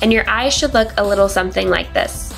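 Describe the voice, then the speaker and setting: A woman speaks in an upbeat tone at a medium pitch with ordinary pitch variation. Music plays in the background. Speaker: beauty vlogger. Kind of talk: makeup tutorial voiceover. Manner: casual, upbeat.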